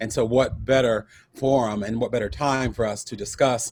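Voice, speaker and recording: Intonation stays fairly even as a man speaks with a North Carolina accent. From North Carolina, US South. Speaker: event co-host, communications firm founder. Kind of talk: panel discussion introduction.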